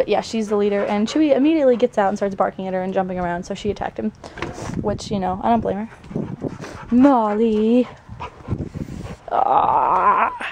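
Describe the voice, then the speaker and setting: Background noise is noticeable as the speech proceeds at a moderate pace with ordinary pitch variation. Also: woman. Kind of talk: casual vlog to camera.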